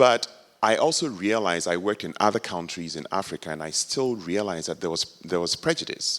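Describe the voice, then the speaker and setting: A man with a Ghanaian accent speaks at a fairly low pitch. His pace is fairly quick and his intonation lively. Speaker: professor. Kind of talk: audience comment at a campus forum. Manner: halting, with hesitations.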